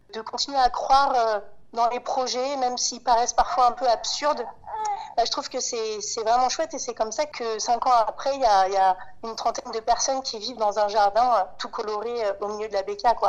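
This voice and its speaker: A woman talks at a fairly high pitch and moderate pace with ordinary pitch variation. Noticeable background noise is present. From Paris, France. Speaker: farming collective co-founder. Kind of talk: interview. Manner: halting, with repeated words.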